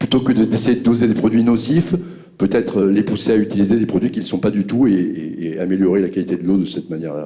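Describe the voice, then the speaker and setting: Delivered at a very fast pace, the voice has a dark, mellow tone and ordinary pitch variation. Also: man, fairly low pitch for a man. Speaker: audience member. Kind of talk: audience question.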